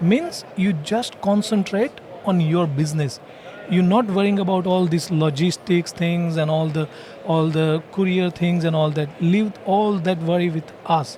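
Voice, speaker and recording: Against noticeable background noise, a man with an Indian accent speaks in a high pitch at a moderate pace with fairly even intonation. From India, Gujarat (Palanpur). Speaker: franchise owner. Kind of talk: podcast interview. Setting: franchising expo floor.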